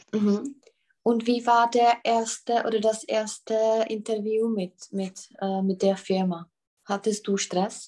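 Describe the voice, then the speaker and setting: A woman's fairly high, dark and mellow voice with a Czech accent, monotone and flat, at a very slow pace. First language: Czech (speaking German). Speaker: German tutor. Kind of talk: language lesson.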